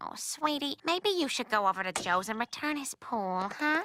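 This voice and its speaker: A woman performs a cartoonish character voice at a high pitch, with very wide pitch swings. The sound is dry and close, without echo. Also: moderate pace. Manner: reasonable, warm.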